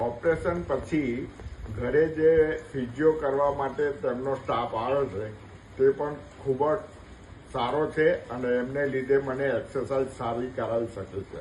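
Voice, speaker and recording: Noticeable background noise beneath fairly even intonation. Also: man, medium pitch for a man. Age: 70s. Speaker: knee replacement patient. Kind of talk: patient testimonial.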